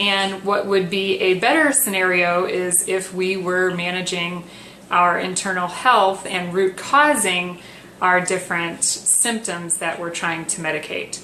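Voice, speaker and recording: Soft-spoken and medium-pitched, a woman talks at a fairly slow pace with ordinary pitch variation, amid noticeable background noise and audible room echo. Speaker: wellness coach. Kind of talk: tutorial. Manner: hesitant with fillers.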